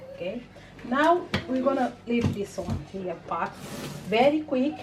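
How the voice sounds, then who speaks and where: A woman with a non-native accent speaks very slowly with lively intonation, amid noticeable background noise and audible room echo. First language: not English. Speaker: cooking channel host. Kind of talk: cooking tutorial. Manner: casual, hesitant with fillers.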